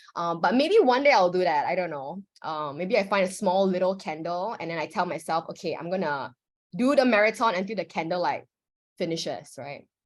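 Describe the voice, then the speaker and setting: Heard in a very clean recording with a silent background, a woman has an ordinary speaking voice at a medium pitch. She talks at a fairly quick pace with lively intonation. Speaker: workshop facilitator. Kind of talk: workshop instruction. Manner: casual, filler-heavy.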